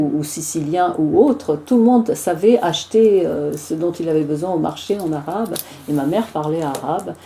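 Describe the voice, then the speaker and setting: A woman talks at a moderate pace with lively intonation and a fairly low pitch. Noticeable background noise sits behind her. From Tunisia. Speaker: singer. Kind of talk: interview, personal anecdotes. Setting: joint TV and radio studio recording.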